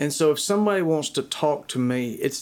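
Moderate pace on a very clean recording with a silent background. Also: man. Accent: Southern US. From US South, rural Georgia. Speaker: worship pastor. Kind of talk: interview.

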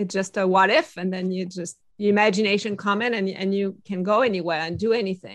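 Speaking at a fairly quick pace with a French accent, a woman uses a medium pitch and ordinary pitch variation. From France. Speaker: innovation consultant. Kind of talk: interview.

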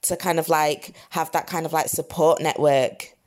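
In a Lancashire accent, a woman speaks with fairly low pitch and monotone, flat intonation. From northern England, Blackburn, Lancashire. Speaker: founder of a hiking community group. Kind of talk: casual interview chat. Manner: casual, filler-heavy speech.

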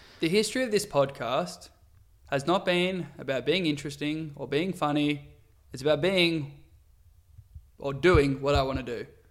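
The man's fairly high voice moves at a moderate pace with ordinary pitch variation and long, frequent pauses. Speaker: podcast host, football fan. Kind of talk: casual chat, banter.

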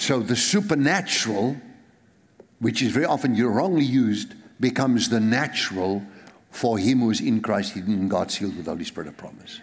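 Lively in intonation and with big swings in loudness, a man speaks in a South African accent. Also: medium pitch for a man, moderate pace. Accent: South African, Afrikaans-accented English. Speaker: pastor. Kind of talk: sermon. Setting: church.

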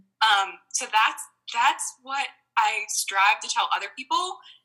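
A woman speaks with an American accent. Her voice is raised and projected. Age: 20s. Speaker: wedding photographer. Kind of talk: casual chat.

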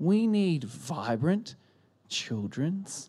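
The recording is very clean with a silent background. A man speaks in an Australian accent. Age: 30s. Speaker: pastor. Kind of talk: sermon. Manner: animated.

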